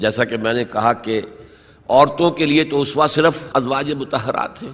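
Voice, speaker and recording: This man's voice sits at a medium pitch. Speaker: Islamic scholar giving a lecture and answering audience questions. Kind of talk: religious lecture (bayan) in Urdu with English words mixed in. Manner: explanatory, lecture style.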